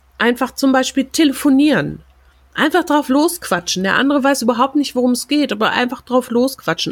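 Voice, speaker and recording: A woman speaks in an animated tone. Her voice is high-pitched. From Germany. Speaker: podcast host, German as a foreign language teacher. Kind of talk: solo rant podcast.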